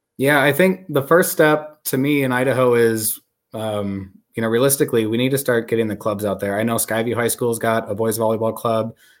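In a very clean recording with a silent background, a man with an American accent has an ordinary speaking voice, medium pitch, ordinary pitch variation and a fairly quick pace. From Wisconsin. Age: 20s. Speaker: volleyball club director and coach. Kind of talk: casual interview.

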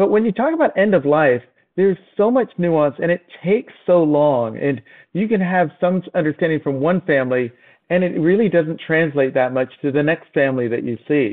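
A man's normal speaking voice, fairly high in pitch, at a moderate pace with lively intonation. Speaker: physician and novelist. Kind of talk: casual interview chat.

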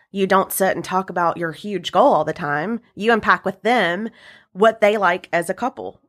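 A woman with an unremarkable speaking voice and an American accent, at medium pitch with ordinary variation and a moderate pace, in a very clean, dry, close recording with a silent background and no echo. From US South, upstate South Carolina. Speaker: wedding and event business owner. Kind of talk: interview.

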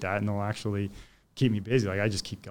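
On a very clean recording with a silent background, a man with a fairly low pitch speaks at a very fast pace. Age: 40s. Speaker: electrician and tool reviewer. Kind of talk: casual chat.

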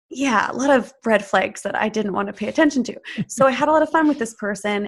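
A woman's fairly high, somewhat breathy voice at a fairly quick pace, ordinary pitch variation, and a quiet background. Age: 30s. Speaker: spiritual coach. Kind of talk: interview.

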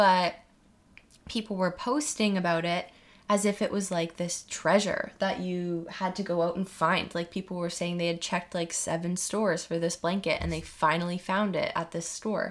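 This woman has a normal speaking voice with a Canadian accent, fairly even intonation and a moderate pace. The recording is very clean, with a silent background. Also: fairly low pitch for a woman. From Ontario, Canada. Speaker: podcast host. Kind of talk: casual monologue. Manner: casual, with fillers and laughs.

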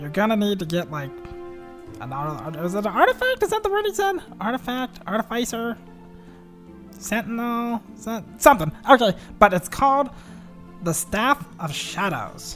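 A put-on character voice at a fairly high pitch pauses long and often while music plays clearly in the background. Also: moderate pace. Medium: actual play. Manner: casual, rambling, filler-heavy.

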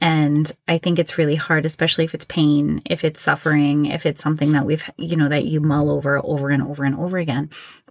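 A woman speaks with a slight New England accent. Her recording is very clean, the background silent. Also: dry, close sound with no echo. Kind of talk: casual interview.

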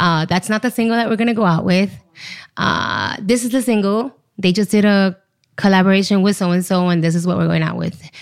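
A woman with an American accent speaks at a fairly quick pace and a medium pitch, with fairly even intonation and very even loudness, on a very clean recording with a silent background. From Miami, US. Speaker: PR agency owner. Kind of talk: casual interview.

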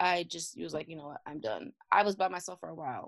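A woman speaks with lively intonation and vocal fry. The sound is dry and close, with no echo. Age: 30s. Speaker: mother running a mothers' support organization. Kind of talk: interview testimony.

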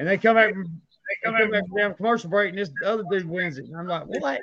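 A man with an American accent speaks very fast in a raised, projected voice with a high pitch and a bright, sharp tone. His loudness swings widely while his pitch varies in an ordinary way. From North Carolina. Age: 40s. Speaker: podcast host, moonshiner. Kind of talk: casual chat.

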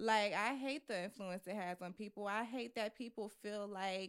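With fairly even intonation, a woman speaks in an unremarkable speaking voice. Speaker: podcast co-host. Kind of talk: casual chat.

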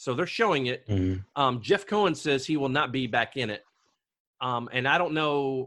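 A loud man's voice, bright and sharp in tone, medium in pitch, with lively intonation at a moderate pace over a quiet background. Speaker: podcast host. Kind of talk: casual chat about a movie. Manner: loud talker.

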